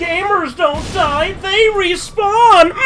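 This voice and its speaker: An extremely high-pitched, put-on character voice is heard over clear background noise. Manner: snarky, comedic.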